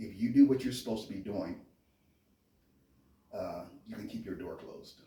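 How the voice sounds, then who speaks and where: A man with a Californian accent talks at a fairly quick pace, with long, frequent pauses and big swings in loudness. Room echo is audible. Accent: Californian American dialect. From US, Memphis Tennessee and California. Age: 50s. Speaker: interviewee, chef and Marine veteran. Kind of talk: interview, casual conversation. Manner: quiet, reserved.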